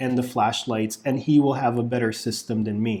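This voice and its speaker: In a very clean recording with a silent background, a man talks with an American accent. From US South. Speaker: YouTube product reviewer. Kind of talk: product review. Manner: casual.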